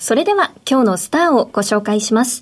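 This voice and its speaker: A woman talks in a high voice that swings very widely in pitch. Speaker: radio announcer. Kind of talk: radio interview. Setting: studio. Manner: formal.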